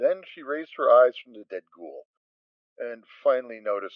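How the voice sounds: A man at a moderate pace, with ordinary pitch variation and a dry, close sound with no echo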